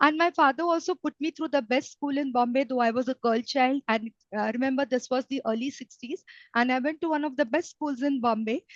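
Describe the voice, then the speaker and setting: High-pitched woman's voice with an Indian accent at a fairly quick pace, dry and close with no echo over a quiet background. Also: ordinary pitch variation. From India, Mumbai. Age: 60s. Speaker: retired banker. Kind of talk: interview.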